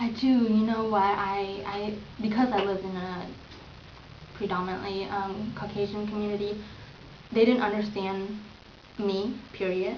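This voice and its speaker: Over noticeable background noise and audible room echo, a woman speaks at a medium pitch and moderate pace in a flat, monotone intonation. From Vietnam, raised in small-town US from age four. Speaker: interviewee, Vietnamese immigrant. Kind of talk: interview. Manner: hesitant, with frequent fillers.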